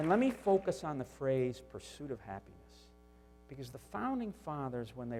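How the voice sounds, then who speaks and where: Over music in the background, a man with a Northeastern US accent speaks at a moderate pace and medium pitch with lively intonation. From US Northeast. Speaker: business executive, tool maker. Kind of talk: keynote speech. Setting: conference stage.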